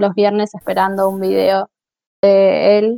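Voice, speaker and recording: A woman is talking. Her pace is very slow. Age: 20s. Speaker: podcast panelist. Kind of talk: casual chat. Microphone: very quiet, low volume.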